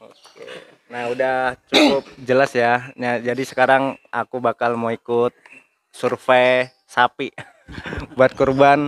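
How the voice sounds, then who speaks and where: A man's very slow, monotone speech at medium pitch, with flat intonation, long, frequent pauses, big swings in loudness, and a dry, close sound with no echo. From Wonogiri, Central Java, then Banten. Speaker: vlogger. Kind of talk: casual vlog interview. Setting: outdoors at a bus terminal and a cattle farm.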